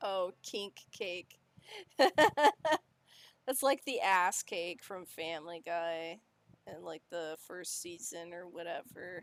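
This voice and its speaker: This woman has an American accent and a fairly low pitch, with lively intonation. She talks at a very slow pace, and her loudness swings widely. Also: dry, close sound with no echo. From Illinois, Chicago area. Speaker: vtuber streamer. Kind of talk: casual chat. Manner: slight slurring.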